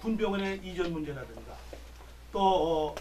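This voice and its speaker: A man talks at a moderate pace, and both audible room echo and noticeable background noise come through. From South Korea, Gyeonggi (Pocheon). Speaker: retired army general and parliamentary candidate. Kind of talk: press conference Q&A. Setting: press briefing room. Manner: formal.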